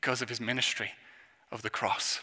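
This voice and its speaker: This man's voice carries a bright, sharp tone and an English accent. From England. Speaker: youth minister. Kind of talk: sermon.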